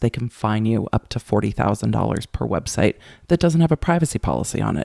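In a dry, close sound with no echo and a very clean recording with a silent background, a man speaks at a medium pitch in a dark, mellow tone. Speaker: former prosecutor turned YouTuber. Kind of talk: casual interview chat. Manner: animated, loud.

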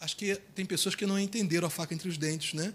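A soft-spoken man talks in a calm tone. His voice has a bright, sharp tone. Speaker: pastor. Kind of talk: sermon. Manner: calm, soft-toned preaching.

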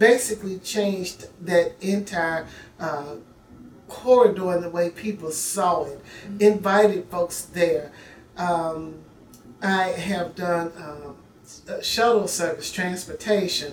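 A woman's medium-pitched voice in a Southern US accent, very slow, with long, frequent pauses, big swings in loudness and ordinary pitch variation. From Memphis, Tennessee. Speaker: mayoral candidate, city councilwoman. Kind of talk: interview.

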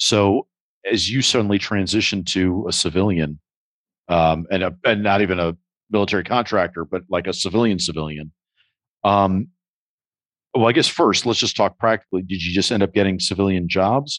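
Speaking at a moderate pace with long, frequent pauses, a man uses a fairly low pitch and ordinary pitch variation over a quiet background, the sound dry and close with no echo. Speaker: podcast host and theater director. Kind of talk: casual interview chat. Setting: video call.

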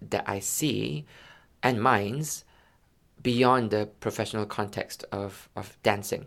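A man with a fairly low pitch speaks very slowly, with vocal fry and ordinary pitch variation. The recording is very clean with a silent background. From Malaysia. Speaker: yoga teacher. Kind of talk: casual chat.

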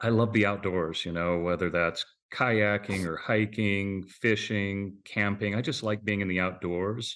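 At a moderate pace, a man with an ordinary speaking voice talks in a fairly low pitch and fairly even intonation. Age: 50s. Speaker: mortgage company president. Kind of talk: interview.

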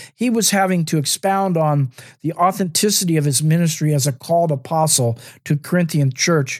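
Here is an unremarkable speaking voice from a man at a fairly high pitch with ordinary pitch variation. The recording is very clean with a silent background. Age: 60s. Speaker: podcast host and minister. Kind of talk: teaching monologue.

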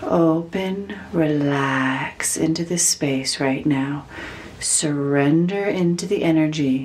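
A woman speaks at a very slow pace in a calm, soothing tone, her pitch very deep and low with ordinary variation. Her loudness stays very even over noticeable background noise. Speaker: spiritual healer leading meditation. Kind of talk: guided meditation. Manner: slow, soft, calm with long pauses; soothing, gentle, instructive.

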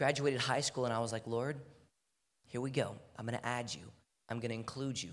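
A man at a medium pitch, with an American accent. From Texas, Houston. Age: 20s. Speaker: athlete and guest preacher. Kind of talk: sermon. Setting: church. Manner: animated.

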